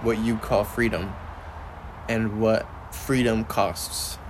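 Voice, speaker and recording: There is noticeable background noise behind this recording. A man speaks very slowly at a medium pitch. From Mexican-American upbringing. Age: 20s. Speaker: podcast host. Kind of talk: casual chat.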